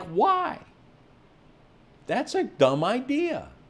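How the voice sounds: This is a put-on character voice, squeaky in sound. It sits at a high pitch.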